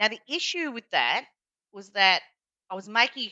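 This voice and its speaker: Talking at a fairly quick pace, a woman speaks with an Australian accent. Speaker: executive coach. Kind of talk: podcast interview. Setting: podcast recording.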